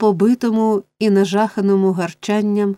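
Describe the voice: Quiet background behind plain reading aloud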